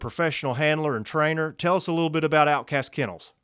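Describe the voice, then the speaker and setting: With a Kentucky accent, a man speaks in a bright, sharp tone on a very clean recording with a silent background. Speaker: podcast host and field trial competitor. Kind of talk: casual interview.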